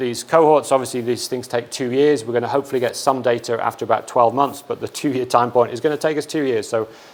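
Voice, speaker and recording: A man's very fast, medium-pitched speech with an American accent and fairly even intonation, amid noticeable background noise. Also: hardly any pauses. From England. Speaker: research scientist. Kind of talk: lecture. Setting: seminar room with audience. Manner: hesitant with frequent repetitions.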